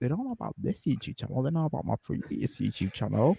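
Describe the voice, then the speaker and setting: A man with a Yorkshire accent at a very fast pace, in a dry, close sound with no echo. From northern England. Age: 20s. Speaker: vegan activist. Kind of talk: casual chat. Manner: halting.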